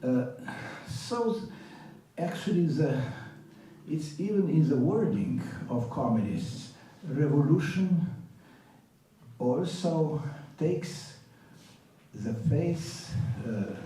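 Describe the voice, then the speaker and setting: At a very slow pace with long, frequent pauses, the speaker's voice carries audible room echo. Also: man, fairly high pitch for a man, lively intonation. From Slovenia, Ljubljana. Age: 80s+. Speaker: professor. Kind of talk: panel talk. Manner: halting, many filler sounds.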